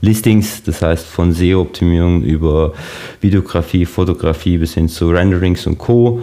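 A man with a very deep, low voice speaks at a moderate pace over noticeable background noise. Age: 20s. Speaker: marketing agency founder. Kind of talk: interview. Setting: video call.

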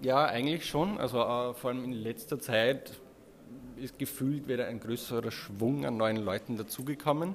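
With an Austrian accent, a man speaks at a moderate pace and medium pitch, his pitch varying in an ordinary way. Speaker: web developer, agency co-founder. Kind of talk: casual interview. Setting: recorded at a conference.

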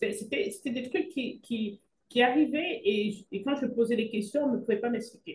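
At a fairly slow pace, a woman talks in a high voice with lively intonation. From Cameroon. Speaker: physician. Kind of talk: interview.

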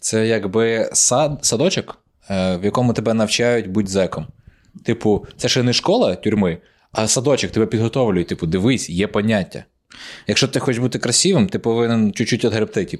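Against a quiet background, a medium-pitched man talks at a moderate pace in an animated tone with ordinary pitch variation. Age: 20s. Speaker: stand-up comedian, podcast co-host. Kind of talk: casual chat.

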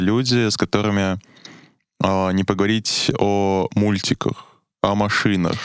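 A man's fairly low pitch, monotone, flat intonation and very slow pace. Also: very even loudness, very clean recording, silent background. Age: young. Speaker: university student. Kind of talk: casual chat. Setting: studio. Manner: hesitant, many fillers.

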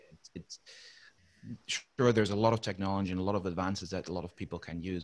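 A man with a Dutch accent and ordinary pitch variation. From Netherlands. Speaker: maintenance reliability consultant. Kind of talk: interview. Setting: remote call.

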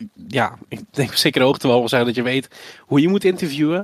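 A man with a plain, everyday voice speaks at a moderate pace and medium pitch with ordinary pitch variation, the sound dry and close with no echo. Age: 20s. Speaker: esports presenter, former YouTuber. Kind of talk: casual interview.

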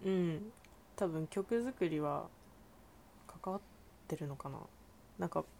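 Her voice is fairly low for a woman, with a dark, mellow tone and lively intonation. She speaks at a fairly slow pace with long, frequent pauses. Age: 19. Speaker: podcast guest. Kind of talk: casual chat.

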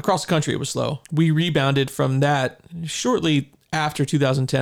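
In a normal speaking voice, a man with a fairly high pitch talks at a fairly quick pace with fairly even intonation. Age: 40s. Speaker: realtor and podcast host. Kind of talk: casual chat.

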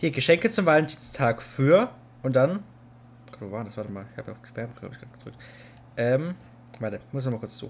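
Lively in intonation, a man speaks very fast yet leaves long, frequent pauses. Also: medium pitch for a man, big swings in loudness. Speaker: podcast co-host. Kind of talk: casual chat. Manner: loud.

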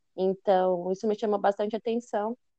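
Dark, mellow tone from a woman at a fairly quick pace, the sound dry and close with no echo. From interior of São Paulo state, Brazil. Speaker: master's student researcher. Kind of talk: casual interview chat.

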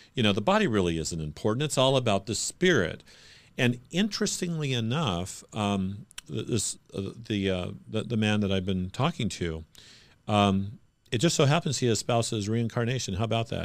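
This man has a fairly low pitch, lively intonation and an unremarkable speaking voice, talking at a moderate pace. The recording is very clean with a silent background. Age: 50s. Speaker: pastor and podcast host. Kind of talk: interview conversation.

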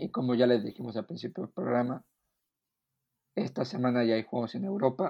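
A man at medium pitch with a dark, mellow tone, lively intonation, and a fairly quick pace broken by long, frequent pauses. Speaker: NFL podcast co-host. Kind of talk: casual sports chat.

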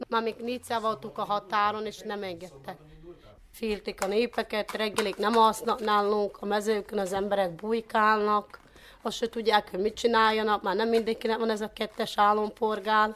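A woman's fairly high voice, monotone and flat, at a moderate pace. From Transcarpathia, Ukraine. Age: 20s. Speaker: war refugee. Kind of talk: interview.

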